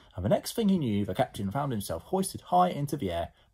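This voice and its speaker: Against a quiet background, a man speaks in an animated, warm tone that is somewhat breathy. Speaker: primary school teacher reading aloud. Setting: pre-recorded video for pupils. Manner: animated, warm and playful, changing voice for each character; clear, friendly, child-directed. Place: home room. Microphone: phone near.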